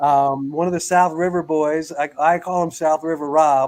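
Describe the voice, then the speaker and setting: This man has a plain, everyday voice, fairly high in pitch, and talks at a moderate pace with fairly even intonation. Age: 60s. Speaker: fishing podcast host, nonprofit founder. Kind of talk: casual chat. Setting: livestream.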